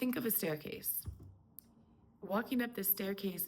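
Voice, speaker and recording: A woman speaks in a calm tone that is somewhat breathy. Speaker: spiritual coach. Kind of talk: spiritual talk to camera. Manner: slow.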